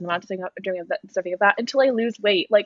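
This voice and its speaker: This woman's voice shows ordinary pitch variation. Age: 20s. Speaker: podcast co-host. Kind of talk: casual chat.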